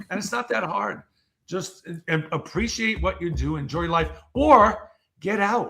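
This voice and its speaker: A man with a high pitch speaks in a raised, projected voice at a fairly slow pace. His intonation is lively and his tone energetic and animated. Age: 60s. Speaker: keynote speaker and author. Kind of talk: casual interview chat. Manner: energetic, animated.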